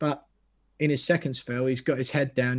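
A man talks at a moderate pace and medium pitch, his intonation monotone and flat. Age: 20s. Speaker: football podcaster, West Ham fan. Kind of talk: casual chat.

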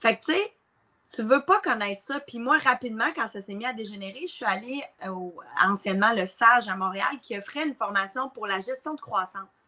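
A woman's plain, everyday voice at a moderate pace, with lively intonation and big swings in loudness. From Quebec, Mauricie. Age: 30s. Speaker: entrepreneur and coach. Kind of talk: casual interview. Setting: live recording.

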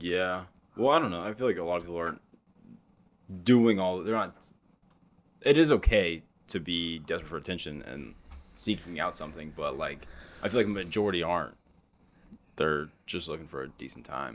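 With a very deep, low pitch and vocal fry, a man talks at a fairly quick pace in lively intonation, his loudness swinging widely and long, frequent pauses breaking it up. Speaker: stand-up comedian. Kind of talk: casual chat.

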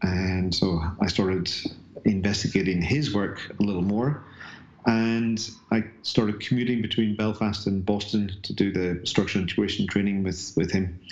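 A man with a slight Northern Irish accent, a fairly low pitch and fairly even intonation, at a moderate pace. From Northern Ireland. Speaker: bodyworker and fascia educator. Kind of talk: casual interview chat.

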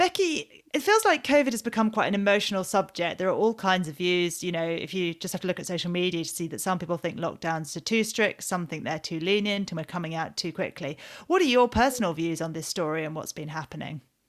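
A woman with a British accent speaks very fast at a fairly low pitch, with ordinary pitch variation and hardly any pauses. The recording is very clean, with a silent background. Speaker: podcast host and magazine editor. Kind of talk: interview and news round-up chat.

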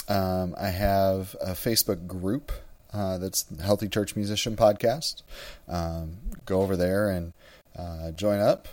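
Fairly low in pitch, a man with an unremarkable speaking voice talks at a fairly slow pace with fairly even intonation. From US Midwest, Wisconsin. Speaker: church music director and podcast host. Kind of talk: solo podcast monologue.

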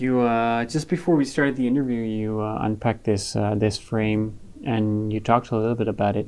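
A man with a plain, everyday voice at medium pitch, a fairly quick pace, and fairly even intonation, over a quiet background. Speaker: radio host.

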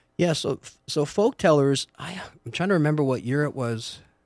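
This man has an unremarkable speaking voice and lively intonation. He talks at a moderate pace. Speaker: entrepreneur. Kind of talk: casual interview chat.

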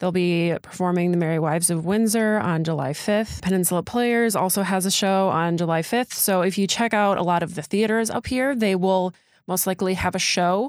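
An ordinary speaking voice, from a woman with a medium pitch and an American accent, moves at a fairly quick pace with hardly any pauses. Her loudness stays very even and her pitch varies in an ordinary way, on a very clean recording with a silent background. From Door County, Wisconsin. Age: 20s. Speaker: local news podcast co-host. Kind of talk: casual event roundup chat.

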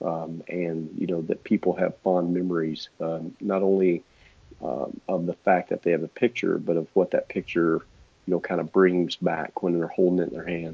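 With a Texas accent, a man speaks in a very deep, low pitch and fairly even intonation. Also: moderate pace. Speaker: portrait photographer. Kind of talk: casual interview chat.

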